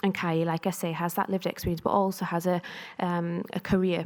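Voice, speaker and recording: In a North East England accent, a woman speaks at a fairly quick pace with a fairly low pitch and monotone, flat intonation. The recording is very clean with a silent background. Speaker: pharmacist and researcher. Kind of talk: conference talk.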